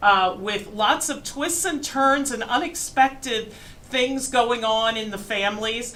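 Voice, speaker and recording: The speaker has an American accent and a fairly slow pace, with ordinary pitch variation. Noticeable background noise and audible room echo fill the recording. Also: woman. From Pennsylvania, western Berks County. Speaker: museum curator, history lecturer. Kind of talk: lecture. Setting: large room with audience, microphone. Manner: loud.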